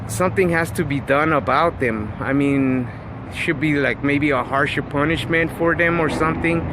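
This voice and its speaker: Fairly high pitch from a man at a moderate pace, with ordinary pitch variation, very even loudness and noticeable background noise. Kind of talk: casual vlog monologue. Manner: halting, many fillers and repeats.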